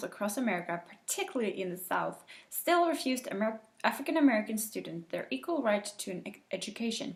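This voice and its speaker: A woman with a non-native accent speaks at a fairly high pitch, her voice making very wide pitch swings. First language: not English. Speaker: teacher. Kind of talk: reading aloud. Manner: halting.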